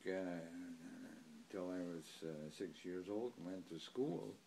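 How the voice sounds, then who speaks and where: Speaking at a very slow pace, a man talks with an Upper Midwest accent. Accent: Upper Midwest (Wisconsin). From US Midwest, Germantown, Wisconsin. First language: German. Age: 80s+. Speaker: oral history interviewee. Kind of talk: oral history interview. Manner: halting, with frequent fillers.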